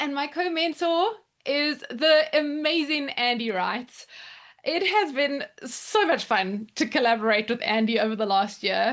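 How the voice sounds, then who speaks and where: Here a woman speaks in a South African accent with a high pitch. Her tone is animated, with very wide pitch swings. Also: fairly slow pace. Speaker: education mentor. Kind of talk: presentation at online open house.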